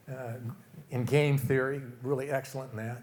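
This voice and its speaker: A man's medium-pitched, somewhat breathy voice in a monotone, flat intonation at a moderate pace, with audible room echo. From Oklahoma, US. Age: 70s. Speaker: retired business executive, speaker. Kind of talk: motivational talk. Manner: casual, conversational.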